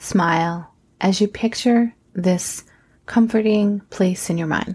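At a very slow pace, a woman speaks in a soothing, calm tone at a medium pitch, her voice somewhat breathy. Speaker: guided meditation host and nurse practitioner. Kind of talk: guided meditation. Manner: slow, soothing, calm; gentle, hushed, measured.

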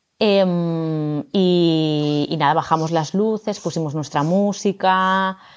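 A woman talks at a very slow pace with hardly any pauses. Her pitch is fairly low and her intonation fairly even. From Barcelona, Spain. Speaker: yoga teacher and new mother. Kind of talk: casual interview.

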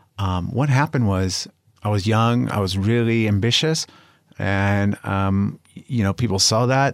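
Fairly slow and fairly low-pitched, a man talks with ordinary pitch variation. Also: very even loudness. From Los Angeles, California. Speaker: podcast co-host, CBD company owner. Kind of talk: casual chat.

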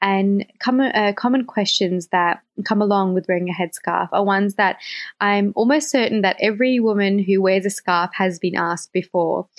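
A woman speaks at a medium pitch with an Australian accent. Her loudness stays very even, and her pitch varies in an ordinary way. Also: moderate pace. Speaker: guest co-host. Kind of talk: semi-scripted podcast discussion.

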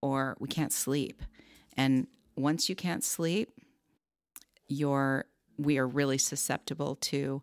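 A woman with a very deep, low voice speaks at a fairly slow pace in a dry, close recording with no echo, very clean with a silent background. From Southern California. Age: 50s. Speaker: life coach. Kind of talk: interview.

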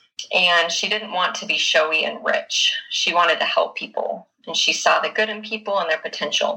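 A woman speaks in a Utah accent at a moderate pace. She takes hardly any pauses. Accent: Utah American English. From Utah (Bountiful). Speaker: book podcast guest. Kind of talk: casual chat.

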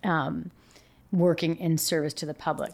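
On a very clean recording with a silent background, a woman speaks in an American accent. Her fairly low voice is monotone and flat, moving at a moderate pace. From Yakima, Washington. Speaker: investigative TV news reporter. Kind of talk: casual interview chat. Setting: lawyer's office. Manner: talkative.

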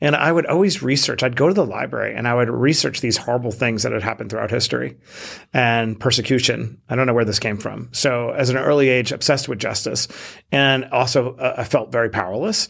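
A man at a medium pitch with vocal fry, ordinary pitch variation and a very fast pace. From Queens, New York. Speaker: entrepreneur and author. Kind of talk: interview conversation.

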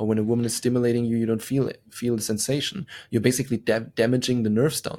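A very fast, medium-pitched male voice with a dark, mellow tone, fairly even intonation and a German accent. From Germany. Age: young. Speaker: sex coach. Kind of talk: podcast interview. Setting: video call.

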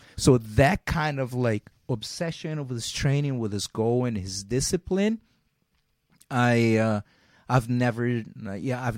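A man with a Portuguese accent speaks at a medium pitch with ordinary pitch variation, in a dry, close sound with no echo. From Brazil. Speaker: jiu-jitsu champion and gym owner. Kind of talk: interview. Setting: video call.

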